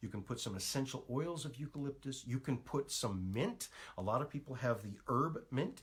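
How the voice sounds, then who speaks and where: Somewhat breathy and animated, a man talks at medium pitch. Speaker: natural health practitioner. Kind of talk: live stream talk. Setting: Facebook live stream. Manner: fast.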